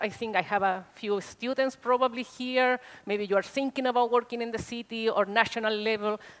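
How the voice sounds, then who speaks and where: A woman speaks at a high pitch. Her voice shows ordinary pitch variation. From Chile. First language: Spanish. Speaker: social worker. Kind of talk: conference talk. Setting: stage with audience. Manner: animated.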